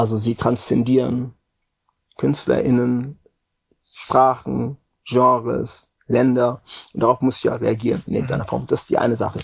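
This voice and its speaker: At a moderate pace, a man speaks with long, frequent pauses. His medium-pitched voice has a monotone, flat intonation. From Frankfurt, Germany. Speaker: music industry executive. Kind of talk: interview. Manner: halting, many fillers.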